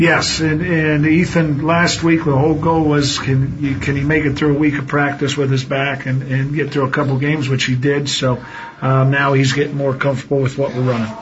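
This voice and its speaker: With noticeable background noise, a man talks in a monotone, flat intonation at very even loudness. He leaves hardly any pauses. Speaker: high school basketball coach. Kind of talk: short radio interview. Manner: conversational, slightly hesitant with filler words.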